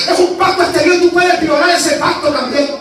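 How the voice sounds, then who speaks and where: A man speaks in an extremely high pitch with an animated tone at a fairly quick pace. Audible room echo and faint music sit in the background. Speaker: evangelist preacher. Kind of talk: fiery Pentecostal sermon; sermon. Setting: church with congregation. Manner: animated, exhortative, shouting praise. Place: church.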